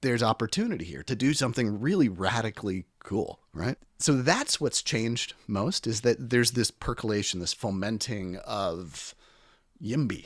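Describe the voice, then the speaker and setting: A man with an unremarkable speaking voice talks at a moderate pace in a medium pitch, his intonation lively. The recording is very clean and dry, close with no echo, over a silent background. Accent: American. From Washington, D.C. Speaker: chef and author. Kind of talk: casual interview.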